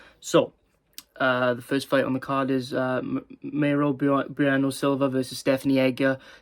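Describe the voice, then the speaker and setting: Here a man speaks at a moderate pace in a medium pitch, his intonation monotone and flat. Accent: Welsh. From Wales. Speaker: MMA YouTuber. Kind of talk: casual fight predictions monologue. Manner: hesitant, many fillers and stumbles.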